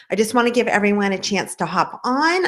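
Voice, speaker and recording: Animated in tone, a woman speaks in a fairly high pitch with very wide pitch swings. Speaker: relationship coach. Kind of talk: webinar presentation. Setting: online webinar.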